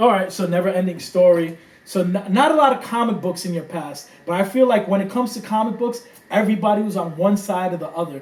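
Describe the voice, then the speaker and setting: A high-pitched man with a New York accent at a very fast pace, with ordinary pitch variation and noticeable background noise. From New York, the Bronx. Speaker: podcast host. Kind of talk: casual chat. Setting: home room.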